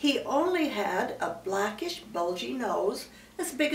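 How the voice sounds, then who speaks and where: A woman with a warm tone speaks in very wide pitch swings against noticeable background noise. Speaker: grandmother reading a story aloud to children. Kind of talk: children's storybook reading. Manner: warm, storytelling, conversational.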